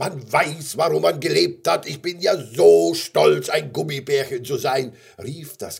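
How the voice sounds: A natural reading voice delivers the passage.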